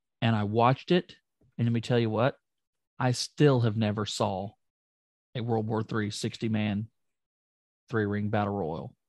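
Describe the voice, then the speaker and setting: A man at a medium pitch and moderate pace, ordinary pitch variation and long, frequent pauses, in a dry, close sound with no echo and a quiet background. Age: 30s. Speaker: wrestling podcast co-host. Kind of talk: casual chat. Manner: animated.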